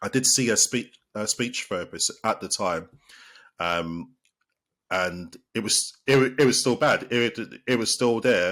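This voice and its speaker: A man with a British accent, medium pitch and fairly slow delivery, in a very clean recording with a silent background. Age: 30s. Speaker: sports therapist. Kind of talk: podcast interview. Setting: podcast. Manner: halting, with repeated words.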